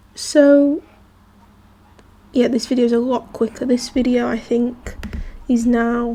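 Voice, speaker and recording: A high female voice against noticeable background noise. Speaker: gaming youtuber. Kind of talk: gameplay voice-over. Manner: casual, hesitant.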